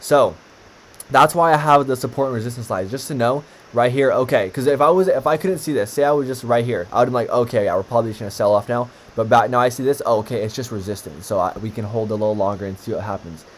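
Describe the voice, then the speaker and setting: The man talks at a very fast pace. His pitch is medium, with ordinary variation. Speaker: stock trading teacher. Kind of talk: tutorial. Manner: casual, filler-heavy.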